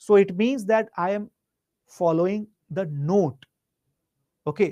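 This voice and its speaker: A loud man speaks at a fairly slow pace with lively intonation. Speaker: teacher. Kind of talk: online lecture. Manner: varies pitch and loudness.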